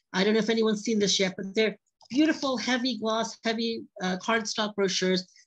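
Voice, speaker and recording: At a fairly quick pace, a woman speaks with a fairly high, somewhat breathy voice and ordinary pitch variation. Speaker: product presenter. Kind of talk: sales pitch. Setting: video call. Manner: fast.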